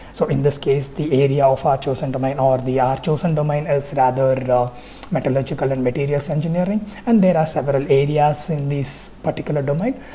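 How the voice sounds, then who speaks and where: A woman's very deep, low voice at a fairly quick pace, with audible room echo and noticeable background noise. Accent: Tamil. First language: Tamil. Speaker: university lecturer. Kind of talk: lecture. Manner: hesitant with frequent fillers.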